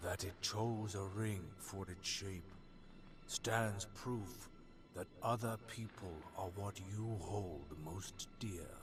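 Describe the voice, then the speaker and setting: Loud music fills the background. A man uses a put-on character voice, fairly low in pitch, at a very slow pace. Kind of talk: archaic, elevated speech. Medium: video game. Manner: solemn, measured.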